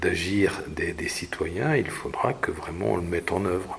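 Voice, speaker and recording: Noticeable background noise fills the clip. Through it, a man talks very slowly. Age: 70s. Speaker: former local councillor. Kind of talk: interview testimony. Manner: halting, many hesitations and repetitions.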